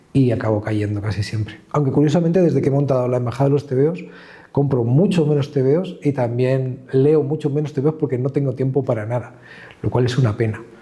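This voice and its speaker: The voice is somewhat breathy and dark, mellow in tone, moving at a fairly quick pace with ordinary pitch variation. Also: man, medium pitch for a man. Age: 50s. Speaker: comic art gallery co-founder. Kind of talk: interview.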